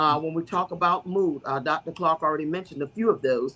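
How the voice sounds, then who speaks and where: With a plain, everyday voice, a woman talks at a moderate pace, her fairly low pitch carried by fairly even intonation. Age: 60s. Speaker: bishop and guest speaker. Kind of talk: talk-show explainer on health.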